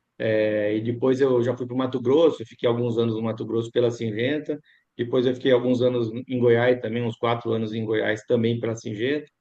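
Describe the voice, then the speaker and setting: This man's voice is at a medium pitch, and he moves at a moderate pace. The intonation stays monotone and flat. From Piracicaba, São Paulo state, Brazil. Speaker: agronomist and drone services business owner. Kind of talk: interview conversation.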